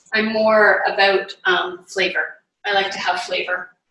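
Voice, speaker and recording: At a moderate pace, a woman talks in an unremarkable speaking voice with fairly high pitch. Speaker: nutrition and yoga cancer coach. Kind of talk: online cooking class. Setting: home kitchen, video call.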